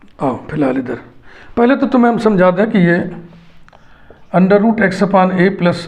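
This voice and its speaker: Room echo is audible as a man speaks at a moderate pace with ordinary pitch variation. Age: 60s. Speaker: math teacher. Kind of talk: lecture.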